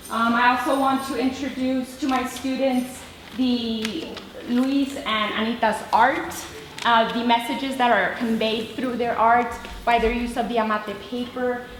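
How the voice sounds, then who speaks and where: A woman with an American accent speaks at a fairly slow pace in a high, flat monotone, with audible room echo and noticeable background noise. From US–Mexico border region. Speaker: teacher. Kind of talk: presentation. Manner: hesitant, many fillers.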